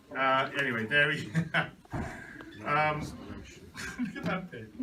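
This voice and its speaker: Noticeable surrounding noise behind a man whose voice sits fairly high. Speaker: auctioneer. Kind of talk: casual banter with the room.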